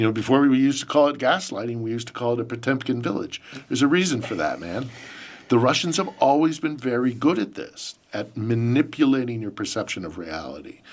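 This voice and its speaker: A man with an American accent, medium pitch and lively intonation, at a very fast pace. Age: 50s. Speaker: journalist and podcast host. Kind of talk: interview answers. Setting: studio.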